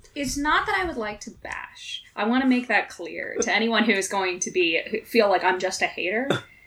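A woman's fairly high, lively voice with an American accent, at a moderate pace with hardly any pauses, over noticeable background noise. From US Deep South. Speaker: guest panelist. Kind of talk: casual chat. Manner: animated.

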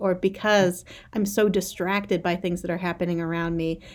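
With an American accent, a woman speaks in an unremarkable speaking voice at medium pitch, her intonation fairly even. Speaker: high school English teacher and poet. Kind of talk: casual interview.

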